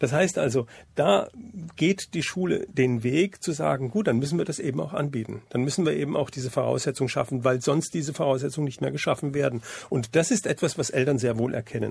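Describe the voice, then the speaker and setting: A man's fairly high voice with vocal fry, ordinary pitch variation and a fairly quick pace, on a very clean recording with a silent background. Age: 60s. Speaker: school happiness program founder. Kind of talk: radio interview.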